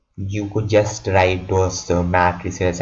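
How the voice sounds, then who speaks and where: Amid audible room echo, a man with a very deep, low voice sounds somewhat breathy and speaks in monotone, flat intonation. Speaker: student tutor explaining exam formulas. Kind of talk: tutorial. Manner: halting, repeated words.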